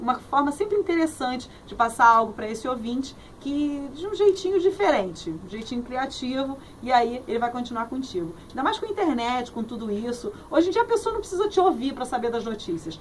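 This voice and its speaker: Over noticeable background noise, a woman speaks at a fairly quick pace in a high pitch, with very wide pitch swings and big swings in loudness. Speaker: radio host and journalist. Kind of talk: interview answer. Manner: cheerful, friendly.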